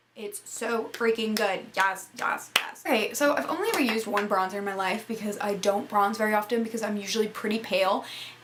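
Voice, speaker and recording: With noticeable background noise, a woman talks at a fairly quick pace and a fairly high pitch, hardly pausing at all. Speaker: beauty vlogger. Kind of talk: casual product review talk. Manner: fast; animated.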